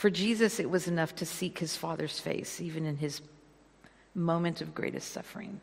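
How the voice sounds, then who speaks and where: A woman with an American accent talks at a moderate pace and a fairly low pitch. Her voice has vocal fry and ordinary pitch variation. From California, US. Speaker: guest preacher. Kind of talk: sermon. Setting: church.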